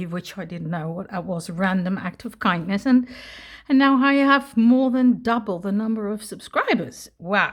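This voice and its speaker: Somewhat breathy, a woman with a medium pitch speaks at a moderate pace with lively intonation. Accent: Dutch. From Netherlands. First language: Dutch. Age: 60s. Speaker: retired English teacher, crafter. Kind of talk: casual crafting video talk to camera.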